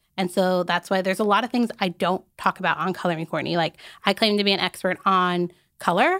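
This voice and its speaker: Recorded very cleanly against a silent background, with a dry, close sound and no echo, a woman with an American accent uses a plain, everyday voice at a medium pitch, a fairly quick pace and fairly even intonation. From Arizona, US. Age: 20s. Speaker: fashion content creator. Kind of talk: casual interview chat.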